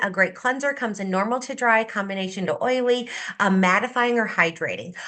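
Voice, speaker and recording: Animated in tone, a woman speaks at a moderate pace with a fairly high pitch and ordinary pitch variation. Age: 50s. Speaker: cosmetics sales director. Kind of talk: sales pitch.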